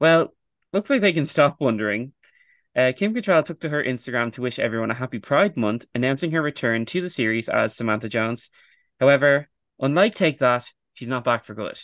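Lively intonation carries a man's medium-pitched voice at a fairly quick pace. The background is quiet. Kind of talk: casual chat. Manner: animated.

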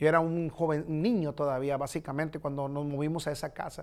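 A man with a plain, everyday voice speaks at a fairly high pitch and a moderate pace. The recording is very clean, with a silent background. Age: 40s. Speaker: pastor. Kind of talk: bible study teaching.

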